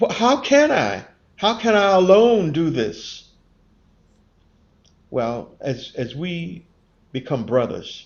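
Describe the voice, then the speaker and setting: A man's voice with very wide pitch swings and long, frequent pauses. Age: 70s. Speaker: Baha'i community member reflecting on faith and race. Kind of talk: interview conversation. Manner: earnest, with repeated words and false starts.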